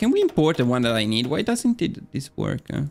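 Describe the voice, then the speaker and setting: A man speaks with an Italian accent at a fairly high pitch. His pitch swings very widely. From Italy. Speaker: gaming streamer. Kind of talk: live gameplay commentary. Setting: live stream. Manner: hesitant, many filler words.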